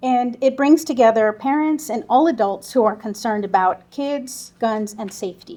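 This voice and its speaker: With a dark, mellow tone, the voice moves at a moderate pace and shows ordinary pitch variation. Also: woman, fairly high pitch for a woman. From Southwest Texas border (Del Rio). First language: Spanish. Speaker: gun safety volunteer group lead. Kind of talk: conference presentation.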